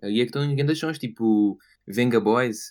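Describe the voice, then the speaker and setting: On a very clean recording with a silent background, a man speaks in a European Portuguese accent at a moderate pace. His pitch is medium and his intonation is lively. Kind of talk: casual chat.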